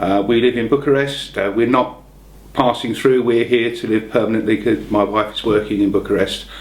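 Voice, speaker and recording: A man talks in a London accent. He keeps a moderate pace and ordinary pitch variation. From London, England. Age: 60s. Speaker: retired car salesman. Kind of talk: interview answers. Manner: casual, humorous.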